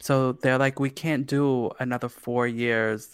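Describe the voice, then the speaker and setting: On a very clean recording with a silent background, a man talks at a medium pitch with an American accent. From New York City, Staten Island. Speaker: podcast co-host. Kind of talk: casual chat. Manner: animated.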